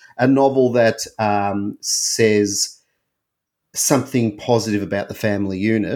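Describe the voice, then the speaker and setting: A man speaks with an unremarkable speaking voice and fairly even intonation. The recording is very clean, with a silent background. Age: 40s. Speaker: book podcast co-host. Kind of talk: casual book discussion.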